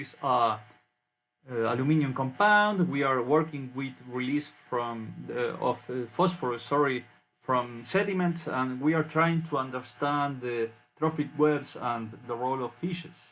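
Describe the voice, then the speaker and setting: A man with a Spanish accent talks at a fairly slow pace, his medium pitch moving with ordinary variation. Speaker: university researcher. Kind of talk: conference presentation. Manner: halting.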